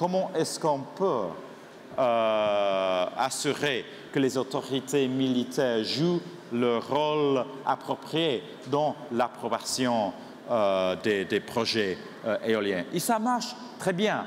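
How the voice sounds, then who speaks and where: A man with a strong non-native accent speaks at a very slow pace with long, frequent pauses. His medium-pitched voice has lively intonation and very even loudness, with noticeable background noise. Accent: strong foreign accent in French. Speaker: industry association executive. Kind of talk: conference speech. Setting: conference stage with audience. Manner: halting, many hesitations.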